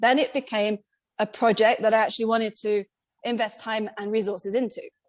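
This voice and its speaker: A woman in a British accent talks at a fairly quick pace. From Britain. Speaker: independent megalith researcher. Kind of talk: podcast interview.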